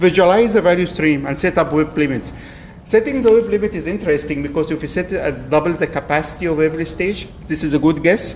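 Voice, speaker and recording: A man's fairly high voice in a non-native accent, very fast, with ordinary pitch variation. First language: not English. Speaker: agile coach. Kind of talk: lightning talk presentation. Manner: hesitant, with fillers.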